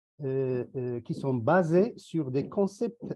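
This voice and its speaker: A man speaks at a very slow pace, his pitch swinging very widely. His tone is dark and mellow, the sound dry and close with no echo against a quiet background. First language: not English (speaks French here) (speaking French). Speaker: university researcher. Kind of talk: conference presentation. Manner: formal.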